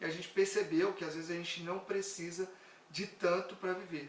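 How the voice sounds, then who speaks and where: A man with a high pitch amid audible room echo and noticeable background noise. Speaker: personal finance content creator. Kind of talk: live stream talk. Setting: live stream.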